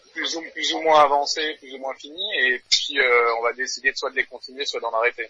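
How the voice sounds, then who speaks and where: Loudness swings widely as the speaker goes on with hardly any pauses, while background noise is noticeable. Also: man, moderate pace. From New Caledonia. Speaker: metal band drummer. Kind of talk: interview.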